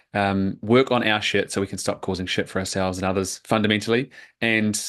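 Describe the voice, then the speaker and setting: A man with a New Zealand accent speaks at a fairly quick pace. His pitch is fairly low and his intonation fairly even. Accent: New Zealand accent, unchanged. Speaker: men's coach. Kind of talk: podcast interview.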